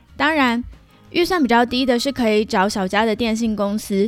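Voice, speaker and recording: Her pitch fairly high and varying in an ordinary way, a woman speaks at a moderate pace. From Taiwan. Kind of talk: solo podcast monologue. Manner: casual, chatty.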